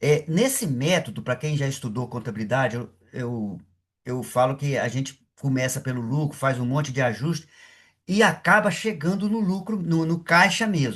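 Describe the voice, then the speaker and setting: A somewhat breathy man talks at a moderate pace with lively intonation against a quiet background. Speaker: accounting professor. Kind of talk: lecture.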